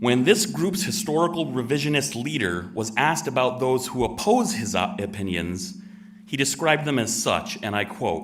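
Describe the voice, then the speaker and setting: Against noticeable background noise and audible room echo, a man speaks at a moderate pace and a medium pitch. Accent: American. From Connecticut, US. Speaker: resident giving public comment. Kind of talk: public comment speech. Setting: town meeting room with audience, microphone. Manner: formal.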